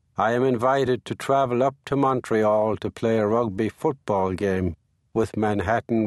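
A man with an American accent at a fairly slow pace, ordinary pitch variation, and a dry, close sound with no echo over a quiet background. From Ireland, Limerick. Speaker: memoir author narrating his own audiobook. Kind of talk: literary memoir audiobook reading, present-tense first-person storytelling. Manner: measured, wry storytelling with dry comic timing; unhurried, conversational narration with short punchy sentences.

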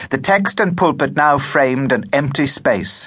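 A man speaks at a medium pitch with vocal fry. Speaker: audiobook narrator. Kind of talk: audiobook narration. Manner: steady, measured storytelling pace; expressive, vivid period-story reading.

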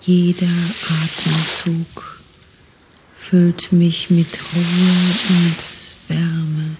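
Over noticeable background noise, a woman with a fairly low pitch speaks very slowly in a gentle, calm tone and monotone, flat intonation, leaving long, frequent pauses. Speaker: audiobook narrator. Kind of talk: guided meditation, autogenic relaxation script in first person. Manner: slow, calm, soothing, soft, even pacing with long pauses; hypnotic, gentle, repetitive.

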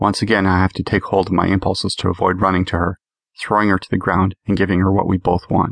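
The speaker does plain reading aloud over a quiet background.

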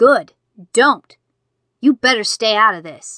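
A woman growls in a put-on character voice at a fairly high pitch. Her pace is fairly slow. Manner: growling, hostile.

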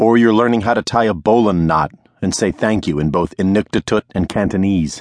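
A man delivers his words in a playful, dramatic tone at a moderate pace, with ordinary pitch variation and a dry, close sound with no echo. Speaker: audiobook narrator. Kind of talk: audiobook narration, first-person memoir read aloud. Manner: dramatic, vividly expressive storytelling with building momentum; wry, playful tone with mock-grave, rhythmic second-person lists.

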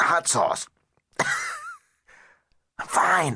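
Middle-pitched, with a put-on character voice. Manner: strained, pretending to be fine.

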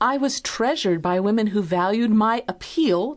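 A woman speaks at a medium pitch and a fairly slow pace, with lively intonation, against a quiet background. She has a normal speaking voice. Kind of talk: audiobook reading of a personal essay. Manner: deliberate, expressive, candid, reflective.

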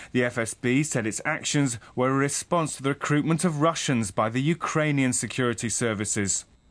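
With an unremarkable speaking voice, a man talks at a moderate pace with hardly any pauses, medium pitch and ordinary pitch variation. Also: very even loudness. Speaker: news correspondent. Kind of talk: recorded news report. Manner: formal, measured.

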